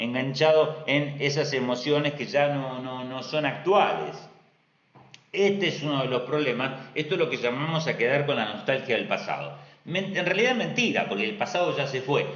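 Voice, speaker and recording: Audible room echo colors speech delivered at a moderate pace with ordinary pitch variation. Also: man, fairly high pitch for a man. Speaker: astrologer. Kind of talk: live stream talk.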